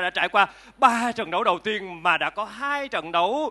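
With ordinary pitch variation, a man speaks in a high pitch. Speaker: floor reporter, event host. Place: stadium. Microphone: handheld.

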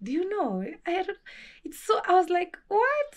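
A woman speaks at a moderate pace with a Kenyan accent. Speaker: travel vlogger. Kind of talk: casual vlog. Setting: at home, handheld camera.

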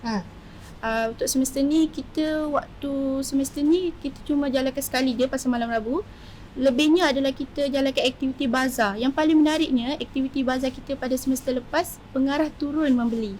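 With fairly even intonation, this woman's high-pitched voice moves at a fairly quick pace. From Malaysia, Kuala Selangor area (Selangor). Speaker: polytechnic student and student entrepreneur. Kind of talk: casual interview. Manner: halting, many fillers.

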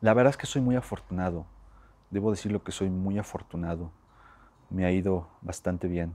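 With a very deep, low pitch and a dark, mellow tone, a man talks at a moderate pace with ordinary pitch variation and long, frequent pauses. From Mexico, Puebla. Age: 20s. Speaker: actor. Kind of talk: interview. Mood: warm, grateful, reflective. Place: hall. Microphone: lapel.

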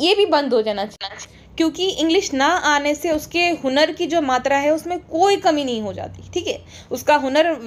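A woman's high voice, animated in tone, with lively intonation. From India. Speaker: YouTuber. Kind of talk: monologue commentary.

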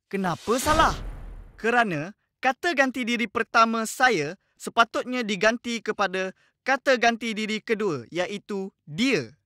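Dry and close with no echo, a man's high, raised and projected voice carries a bright, sharp tone and lively intonation at a fairly slow pace. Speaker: educational video presenter. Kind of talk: lecture. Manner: friendly, addressing young students.

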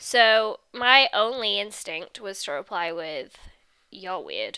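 A woman with an English accent speaks at a fairly high pitch in a bright, sharp tone with very wide pitch swings, on a very clean recording with a silent background. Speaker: YouTuber. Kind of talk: casual vlog talk to camera.

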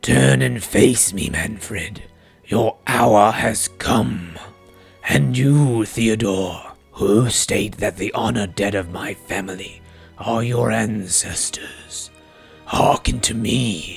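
Faint music plays behind a man using a put-on character voice. He speaks at a fairly low pitch and a very slow pace. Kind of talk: solemn ghostly proclamation. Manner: commanding, vengeful.

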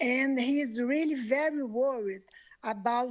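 With a non-native accent, a woman talks at a very slow pace in a high pitch with ordinary pitch variation. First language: not English. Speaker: public commenter. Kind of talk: public comment. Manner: halting.

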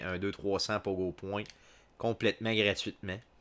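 A fairly low male voice in a Quebec accent, flat and monotone, at a fairly slow pace. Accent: Québécois French. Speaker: video game streamer. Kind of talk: live gameplay commentary. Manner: halting, frequent filler words. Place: home room.

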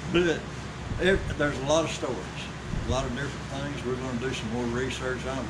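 Loud background noise runs beneath a man's voice. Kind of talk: interview answer. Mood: enthusiastic storytelling. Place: shop. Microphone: camera far.

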